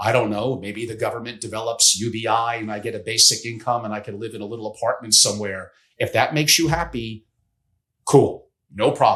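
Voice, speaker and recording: A man talks fairly quickly in a normal speaking voice, with fairly even intonation. His loudness swings a lot. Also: medium pitch for a man. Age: 60s. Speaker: family office strategist. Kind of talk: podcast interview.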